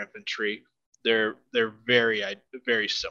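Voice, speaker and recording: Against a quiet background, a man with a Midwestern US accent speaks at medium pitch in a bright, sharp tone, the sound dry and close with no echo. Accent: General American, Midwestern. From US Midwest, Nebraska. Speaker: tabletop wargame champion. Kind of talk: casual chat.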